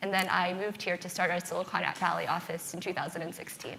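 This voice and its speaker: Very fast, monotone speech with flat intonation over noticeable background noise. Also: woman. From US Midwest, Ohio near Akron. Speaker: venture capitalist. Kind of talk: panel discussion.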